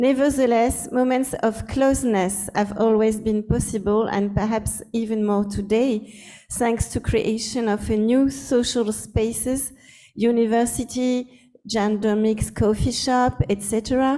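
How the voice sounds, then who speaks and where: A woman with a French accent talks at a fairly slow pace in a fairly high pitch, her tone dark and mellow. Her intonation is monotone and flat, and her loudness stays very even. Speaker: anthropologist. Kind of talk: academic lecture. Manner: halting, with false starts.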